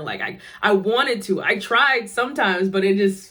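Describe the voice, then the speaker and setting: Over noticeable background noise, a woman speaks with an American accent. Her pitch is medium, with ordinary variation. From upstate New York (Schenectady). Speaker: vlogger. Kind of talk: personal storytelling monologue. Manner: casual, filler-heavy (like, um).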